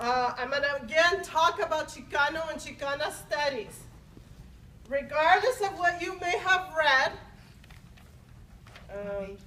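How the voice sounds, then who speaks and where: A woman's high-pitched, raised and projected voice with lively intonation, a fairly slow pace, long and frequent pauses, and audible room echo. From Los Angeles (moved from Mexico at seven). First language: Spanish. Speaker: university faculty member. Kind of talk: formal speech at academic senate meeting.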